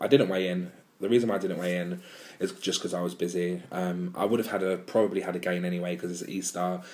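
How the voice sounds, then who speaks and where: With an English accent, a man with a very deep, low voice talks very fast in a monotone, flat intonation. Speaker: weight-loss vlogger. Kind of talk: vlog monologue. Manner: hesitant with many ums.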